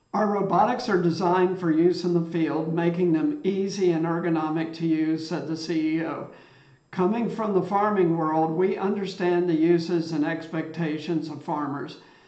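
At a moderate pace, a man speaks in a high pitch with fairly even intonation, and audible room echo surrounds him. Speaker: tech news host. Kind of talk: commentary. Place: home room.

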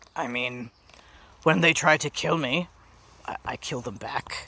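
A man's raspy, put-on character voice, medium in pitch and fairly slow. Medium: cartoon. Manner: dry, sardonic, amused disgust.

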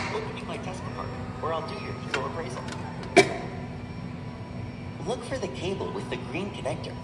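Over loud background noise, the speaker talks at a fairly quick pace. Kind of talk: recorded machine instructions. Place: shop.

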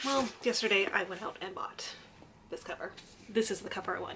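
Noticeable background noise sits behind a woman's voice. She speaks at a fairly quick pace with fairly even intonation. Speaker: book vlogger. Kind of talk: casual vlog chat. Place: home room. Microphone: phone near.

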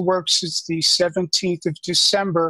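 In a dry, close recording with no echo, a man speaks very slowly in a high, bright, sharp voice with monotone, flat intonation. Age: 60s. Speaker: caller to a livestream show, shop worker. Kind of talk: casual chat. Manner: halting; effusive.

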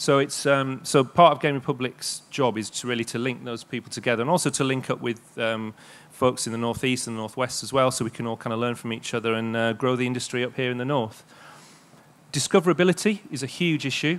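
Speaking very fast with a Yorkshire accent, this man has a medium pitch and ordinary pitch variation. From East Yorkshire, England. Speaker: games industry network director; presenter. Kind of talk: public presentation. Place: stage. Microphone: handheld.

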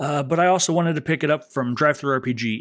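Quiet background behind a man's voice. His pitch varies in an ordinary way. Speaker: tabletop game reviewer. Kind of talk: casual review chat. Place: home room.

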